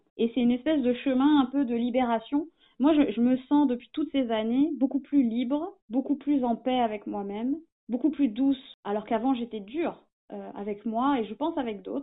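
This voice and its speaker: A woman's high-pitched voice at a moderate pace. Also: ordinary pitch variation. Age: 30s. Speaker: small business owner, former journalist. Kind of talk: interview. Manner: halting.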